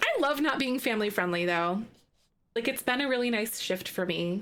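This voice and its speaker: A woman's voice with lively intonation. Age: 30s. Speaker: video game streamer. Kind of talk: casual live-stream chat while gaming. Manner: animated.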